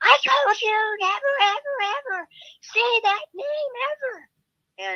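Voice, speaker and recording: A put-on character voice shouts at an extremely high pitch, shrill throughout. The pace is fairly slow. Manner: screaming, furious.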